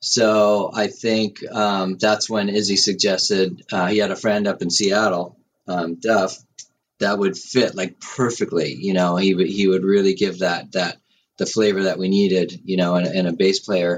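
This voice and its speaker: A man with an American accent speaks at a moderate pace in an unremarkable speaking voice, his intonation fairly even. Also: fairly low pitch for a man. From US Northeast, Westchester County, New York. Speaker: rock drummer. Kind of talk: interview.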